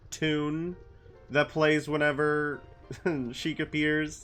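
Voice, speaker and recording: With music playing behind him, a man talks in a relaxed tone. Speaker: gaming streamer. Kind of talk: casual livestream talk. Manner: relaxed, chatty.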